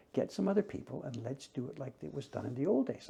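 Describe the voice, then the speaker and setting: A man talks at a fairly quick pace in a dark, mellow tone. His voice is somewhat breathy. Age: 70s. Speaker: woodblock printmaker. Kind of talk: casual conversation. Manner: reflective storytelling.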